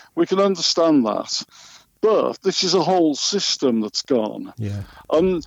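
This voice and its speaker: A man with an English Midlands accent, a high pitch and very wide pitch swings. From West Midlands, England (Solihull). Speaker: journalist and magazine editor. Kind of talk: interview. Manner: hesitant, many fillers.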